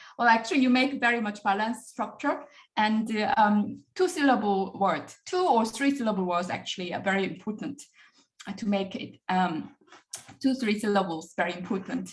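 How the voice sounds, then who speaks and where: In a room with audible echo, a woman's fairly high, somewhat breathy voice carries lively intonation. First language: Korean. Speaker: professor. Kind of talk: lecture. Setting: video call. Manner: fast.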